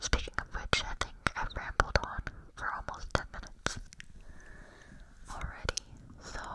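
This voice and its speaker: The voice is a whisper. It is soft-spoken. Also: woman. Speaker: ASMR creator. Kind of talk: whispered ASMR chat. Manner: soft close-mic ASMR whisper. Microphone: studio mic.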